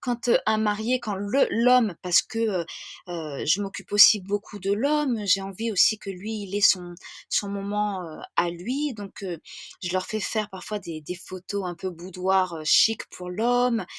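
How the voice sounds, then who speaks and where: A woman of medium pitch talks at a very slow pace in a very clean recording with a silent background and a dry, close sound with no echo. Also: ordinary pitch variation. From France. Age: 30s. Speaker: wedding planner. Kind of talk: podcast interview. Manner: hesitant, many fillers; enthusiastic.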